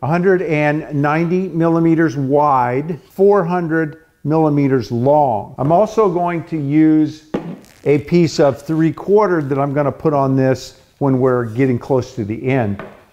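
With music in the background, a man speaks at a very slow pace with ordinary pitch variation. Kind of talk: tutorial. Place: workshop. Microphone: lapel.

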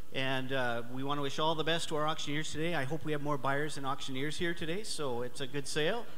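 A man talks at a fairly quick pace in an unremarkable speaking voice, fairly high in pitch, with ordinary pitch variation over light background noise. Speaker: provincial government representative giving greetings. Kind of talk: welcome speech at a live event. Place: hall.

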